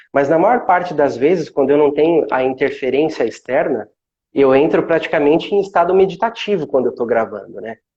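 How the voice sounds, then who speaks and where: Using a calm tone, a man speaks at a fairly quick pace with lively intonation. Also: fairly high pitch for a man. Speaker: meditation instructor. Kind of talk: casual chat.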